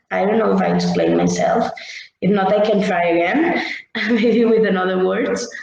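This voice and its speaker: Audible room echo surrounds a woman's voice. Her loudness is very even and her pace is moderate. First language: Catalan or Spanish. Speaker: social educator. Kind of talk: workshop presentation. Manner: halting.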